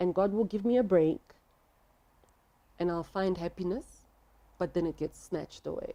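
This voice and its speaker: A woman's dark, mellow voice at medium pitch, with ordinary pitch variation, a moderate pace and long, frequent pauses. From South Africa, Soweto. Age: 30s. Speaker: interview guest sharing life story. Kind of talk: testimony.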